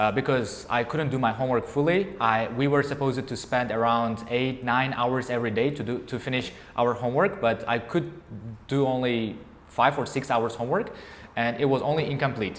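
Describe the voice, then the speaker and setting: A man talks at a fairly quick pace. He has an Uzbek accent. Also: medium pitch for a man, ordinary pitch variation. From Uzbekistan, Bukhara. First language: Uzbek and Tajik. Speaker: English teacher. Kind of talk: interview before a class audience. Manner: halting.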